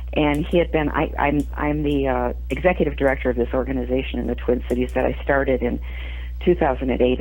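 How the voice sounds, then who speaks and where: A woman's very deep, low voice at a very fast pace, monotone and flat, with audible room echo. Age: 60s. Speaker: playwright and feminist organizer. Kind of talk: interview. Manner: halting, many fillers and restarts.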